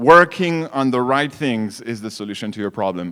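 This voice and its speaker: A man with a French accent speaks at a moderate pace, his pitch swinging very widely. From France. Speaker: startup founder. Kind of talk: conference talk.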